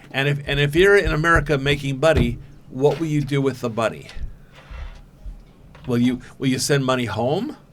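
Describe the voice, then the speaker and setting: A man's fairly high-pitched voice at a moderate pace with ordinary pitch variation, over background music. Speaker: podcast host interviewing a young woman. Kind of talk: interview questions.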